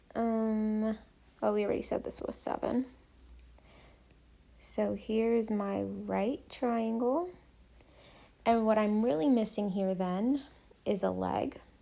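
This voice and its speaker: Her tone dark and mellow, a woman speaks very slowly at a fairly high pitch with ordinary pitch variation and long, frequent pauses. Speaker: math teacher. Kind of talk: tutorial. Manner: casual, frequent ums.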